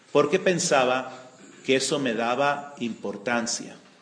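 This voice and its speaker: With audible room echo around him, a man talks at a very slow pace in a medium pitch with ordinary pitch variation. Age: 60s. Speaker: retreat speaker giving a spiritual talk. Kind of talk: spiritual testimony.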